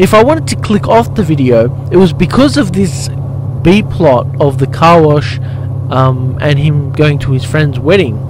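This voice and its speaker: Over noticeable background noise, a man talks at a moderate pace with very even loudness and a dry sound with no echo. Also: ordinary pitch variation. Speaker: motorbike vlogger, life coach. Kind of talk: casual vlog commentary. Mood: mildly critical, reflective. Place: motorbike.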